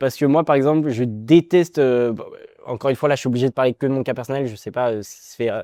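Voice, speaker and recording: A very fast pace and a dark, mellow tone, dry and close with no echo over a quiet background. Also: man. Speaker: calisthenics coach. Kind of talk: interview.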